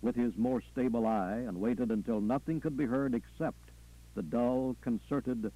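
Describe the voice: The speaker gives a plain reading aloud.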